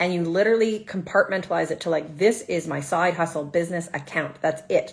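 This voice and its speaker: Her pitch fairly low, a woman speaks at a fairly quick pace with ordinary pitch variation. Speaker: social media side hustle coach and therapist. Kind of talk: live stream Q&A. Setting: social media livestream. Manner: fast; animated.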